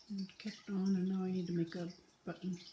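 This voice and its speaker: A woman's somewhat breathy voice has a dark, mellow tone and monotone, flat intonation, heard with audible room echo and light background noise. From British Columbia, Canada. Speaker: knitting vlogger. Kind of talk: casual tutorial vlog. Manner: slow with long pauses; hesitant, filler words. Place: home room. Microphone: phone near.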